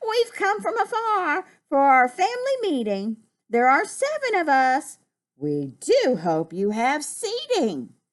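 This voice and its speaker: A woman does a put-on character voice, pitched high with very wide pitch swings. She speaks at a fairly slow pace. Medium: read story.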